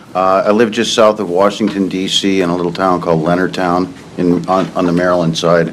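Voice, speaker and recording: Amid noticeable background noise and audible room echo, a man with an American accent talks at a fairly quick pace, his very deep, low pitch showing ordinary variation. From Iowa, Cedar Rapids area. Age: 60s. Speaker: witness, retired Navy. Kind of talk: court testimony. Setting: courtroom.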